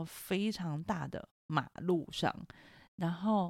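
A woman has a normal speaking voice, fairly low in pitch with ordinary pitch variation, in a very clean recording with a silent background and a dry, close sound with no echo. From Taiwan (Taipei). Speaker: podcast host, mother, psychology background. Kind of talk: casual chat.

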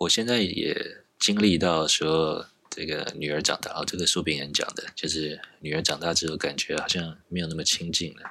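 A man speaks at a moderate pace in a very deep, low voice. His intonation stays fairly even. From Taiwan. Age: 40s. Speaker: software engineer. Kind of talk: casual interview chat.

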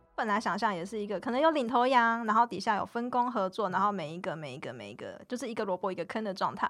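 A woman's fairly high voice at a very fast pace, with lively intonation and big swings in loudness, on a very clean recording with a silent background. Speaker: union organizer. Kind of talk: casual interview.

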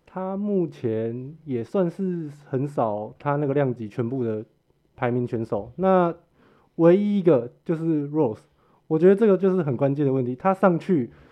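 Man with a plain, everyday voice, fairly high pitch, lively intonation and a fairly slow pace. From Taiwan, Hsinchu. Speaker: MMA fan with small video channel. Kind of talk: casual chat.

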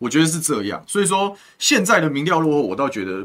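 Speaking at a very fast pace, a man uses a fairly high pitch with very wide pitch swings, a bright, sharp tone and vocal fry. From Taiwan, Taoyuan. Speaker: city councillor. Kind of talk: political interview chat. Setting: studio live stream.

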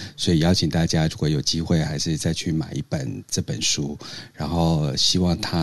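A man's very deep, low voice at a moderate pace. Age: 50s. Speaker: podcast co-host. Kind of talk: casual chat. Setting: Clubhouse live room.

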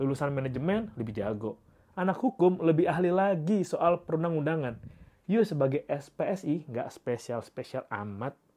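A man's fairly high-pitched voice with a dark, mellow tone, very wide pitch swings, and a moderate pace. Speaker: solo podcaster, psychology graduate. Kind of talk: casual monologue. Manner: informal, chatty.

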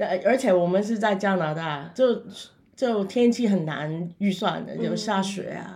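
A woman with a Cantonese accent speaks at a fairly slow pace in a dark, mellow tone with vocal fry and ordinary pitch variation. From Macau. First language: Cantonese (speaking Chinese). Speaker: funeral director and paranormal YouTuber. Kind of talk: interview.

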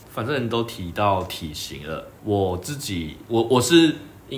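Audible echo from the room follows the man as he talks fairly slowly. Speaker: podcast co-host. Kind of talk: casual chat.

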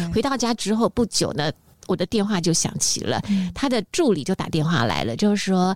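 A woman's animated voice with very wide pitch swings and vocal fry. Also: dry, close sound with no echo. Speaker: radio host. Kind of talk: interview. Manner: animated, laughs loudly.

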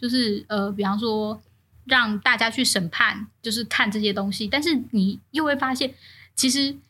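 A woman speaks at a fairly slow pace with a fairly high pitch and lively intonation. Her tone is bright and sharp, and the recording is very clean with a silent background. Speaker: podcast co-host. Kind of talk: casual chat.

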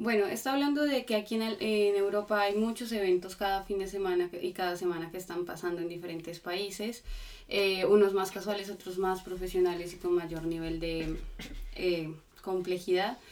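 A woman speaks at a medium pitch and a moderate pace with ordinary pitch variation. Noticeable background noise is present. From Colombia. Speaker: interpreter. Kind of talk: interpreting.

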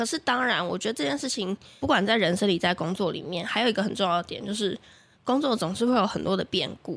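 Talking at a very fast pace, a woman with medium pitch uses lively intonation and an animated tone. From Taiwan, Taichung. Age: 20s. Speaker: radio marketing planner and host. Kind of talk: casual interview chat. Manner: animated, laughs often.

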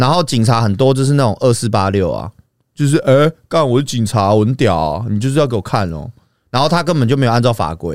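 In a very clean recording with a silent background, a man speaks fairly quickly at a medium pitch with lively intonation. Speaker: YouTuber. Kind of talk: casual chat. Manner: animated.

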